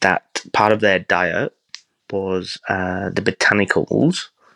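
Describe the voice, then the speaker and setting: In a dry, close recording with no echo, a man speaks very slowly with a very deep, low pitch. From England. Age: 40s. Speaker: chef. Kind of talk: casual interview chat.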